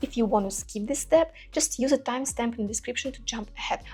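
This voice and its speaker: Music plays in the background. A woman speaks very fast in a Russian accent. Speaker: cooking YouTuber. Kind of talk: casual chat to viewers; cooking tutorial. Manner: halting, with fillers.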